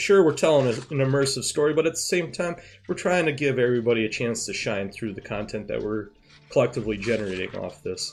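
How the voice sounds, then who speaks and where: A man's medium-pitched voice with a slight Upper Midwest accent, lively intonation and a fairly quick pace, with music in the background. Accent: slight northern Midwest. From US Midwest, near Canadian border. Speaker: gaming streamer and role-player. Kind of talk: casual stream chat. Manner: fast.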